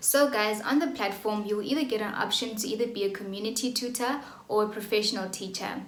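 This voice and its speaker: With a South African accent, the speaker talks at a fairly quick pace amid audible room echo and noticeable background noise. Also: woman, ordinary pitch variation. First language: Xhosa. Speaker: online English tutor. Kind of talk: vlog tutorial. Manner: casual, with fillers.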